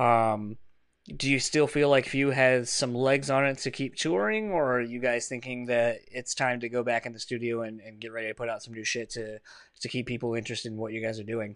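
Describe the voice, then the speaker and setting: Speaking fairly quickly with an East Coast American accent, a man at medium pitch keeps fairly even intonation but shows big swings in loudness against a quiet background. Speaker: podcast host. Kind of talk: casual chat.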